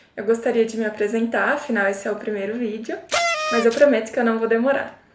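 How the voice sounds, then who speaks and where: A woman's fairly high voice at a very fast pace, fairly even in intonation, over noticeable background noise. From interior of São Paulo state, Brazil. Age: 20s. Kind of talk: casual talk to camera.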